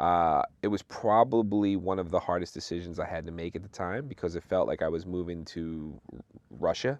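This man has a very deep, low pitch and an American accent. He speaks at a moderate pace with ordinary pitch variation against a quiet background. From Philadelphia, US. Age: 30s. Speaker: DJ. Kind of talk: casual interview chat. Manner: halting, repeats words.

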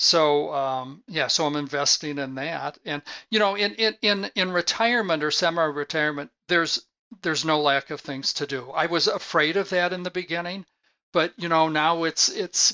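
A man in a plain, everyday voice keeps a moderate pace, his fairly high pitch showing ordinary pitch variation. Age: 60s. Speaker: sales executive and consultant. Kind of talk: interview. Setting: remote call.

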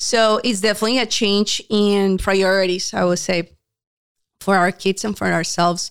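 A woman in a Spanish accent, her intonation flat and monotone. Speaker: homeschooling parent. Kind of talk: casual chat. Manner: laughs often.

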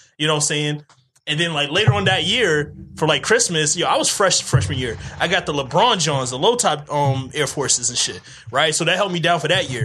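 Fairly quick and lively in intonation, a man talks at a fairly high pitch. It is a plain, everyday voice. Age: 30s. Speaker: podcast co-host. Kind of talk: casual chat.

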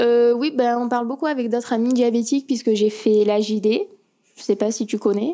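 Her voice is high, and this woman speaks at a moderate pace with fairly even intonation. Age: young. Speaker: diabetic patient. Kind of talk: remote interview. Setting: remote call.

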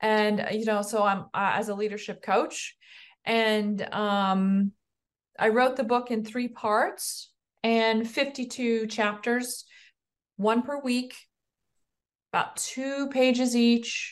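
With an American accent, a woman speaks at a very slow pace with long, frequent pauses, fairly high pitch and fairly even intonation. The background is quiet. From US Midwest (Iowa). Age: 50s. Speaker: leadership coach and author. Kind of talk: interview conversation.

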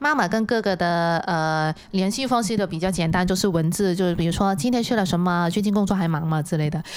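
A woman's unremarkable speaking voice, medium in pitch and fairly quick, with very even loudness, ordinary pitch variation and hardly any pauses. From Hong Kong. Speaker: illustrator. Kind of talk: casual chat. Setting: studio.

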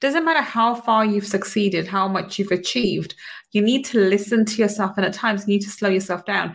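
On a very clean recording with a silent background, a woman talks at a fairly quick pace in an animated, somewhat breathy tone. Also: medium pitch for a woman, ordinary pitch variation. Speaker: podcast host, money mindset coach. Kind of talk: interview.

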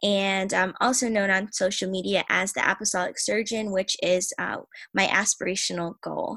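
A woman's medium-pitched voice, bright and sharp in tone, with fairly even intonation at a moderate pace. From Tampa, Florida, US. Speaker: church member and aspiring surgeon. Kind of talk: testimony.

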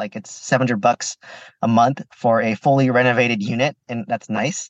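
A man talks in a plain, everyday voice at a medium pitch. His pitch variation is ordinary, and the sound is dry and close with no echo. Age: 30s. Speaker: pharmacist and real estate investor. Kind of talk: podcast interview.

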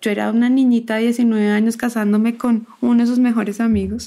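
A dark, mellow tone in a woman's fairly high voice. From Bogotá, Colombia. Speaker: technology expert and entrepreneur. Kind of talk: casual panel conversation.

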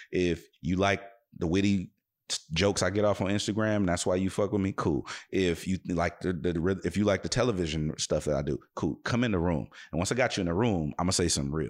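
A man with an American accent and a very deep, low pitch talks at a fairly quick pace with ordinary pitch variation. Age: 30s. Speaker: radio host and DJ. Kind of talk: casual interview chat.

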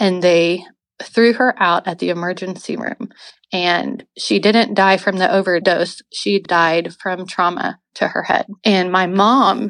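Over a quiet background, a woman speaks in a normal speaking voice at a fairly slow pace. Her pitch is medium and her intonation fairly even. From Oklahoma City. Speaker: ministry founder and coffee business owner. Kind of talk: testimony.

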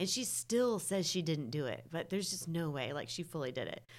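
A woman speaks at a moderate pace with vocal fry. Her pitch is very deep and low, and her intonation is lively. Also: very clean recording, silent background. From North Carolina. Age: 30s. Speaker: podcast guest. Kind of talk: casual chat.

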